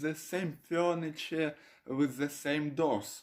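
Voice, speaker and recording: A Russian accent on a very clean recording with a silent background. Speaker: video blogger. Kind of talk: casual explainer video. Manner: halting, many fillers.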